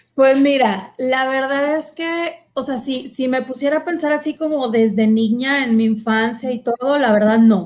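Keeping a fairly slow pace with hardly any pauses, a woman speaks at a high pitch with ordinary pitch variation. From Mexico, Monterrey. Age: 40s. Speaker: consecrated virgin and psychologist. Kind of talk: testimony.

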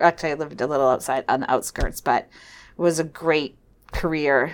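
A woman with an American accent speaks at a moderate pace on a very clean recording with a silent background. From New Hampshire, US. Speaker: nurse executive. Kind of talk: interview.

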